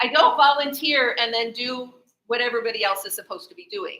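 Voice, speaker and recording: A woman speaks at a moderate pace in a high pitch with ordinary pitch variation. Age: 50s. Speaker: speaker sharing life story. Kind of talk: testimony.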